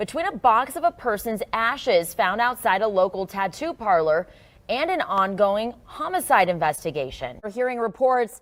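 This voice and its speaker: With an American accent, a woman talks at a moderate pace in a fairly high pitch, in a plain, everyday voice. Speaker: TV news anchor and reporter. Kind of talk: local TV news anchor delivery.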